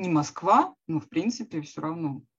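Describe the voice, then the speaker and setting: Very slowly, a woman speaks at a fairly low pitch. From Russia, Smolensk. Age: 40s. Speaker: career-changer programmer, former psychologist. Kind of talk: interview. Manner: halting.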